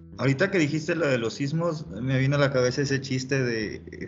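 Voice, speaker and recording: A man with a fairly high pitch talks at a fairly quick pace in a somewhat breathy voice, with audible room echo. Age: 20s. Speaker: engineering student, co-host. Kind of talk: casual chat.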